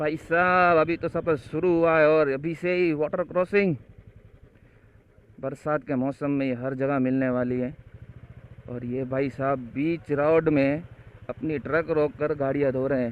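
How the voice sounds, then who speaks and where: A man talks in a fairly high pitch with fairly even intonation. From India, Kutch, Gujarat. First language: Kutchi / Gujarati (speaking Hindi). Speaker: travel vlogger. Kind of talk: travel vlog narration. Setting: outdoors on a motorbike.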